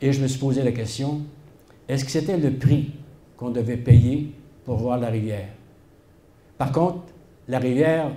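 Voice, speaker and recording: A man with a dark, mellow, somewhat breathy tone speaks fairly slowly with fairly even intonation and long, frequent pauses. His loudness swings widely, and audible room echo is present. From Quebec, Shawinigan. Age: 70s. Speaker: historian. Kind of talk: public talk. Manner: hesitant, many filler sounds.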